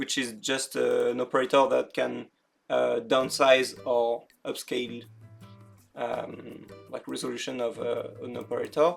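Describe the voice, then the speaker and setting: Over music in the background, a speaker with a French accent talks at a fairly slow pace. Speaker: creative coding tutorial maker. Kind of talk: software tutorial narration. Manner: casual, hesitant with fillers.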